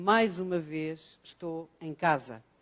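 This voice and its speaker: A woman talks with fairly even intonation in a European Portuguese accent. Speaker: professor. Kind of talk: lecture. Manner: hesitant fillers (ah, eh).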